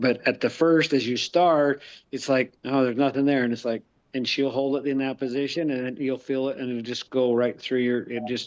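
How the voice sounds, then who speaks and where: A man speaks in an ordinary speaking voice at a medium pitch. His intonation stays fairly even over a quiet background. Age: 50s. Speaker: real estate investor and construction worker. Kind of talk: casual chat.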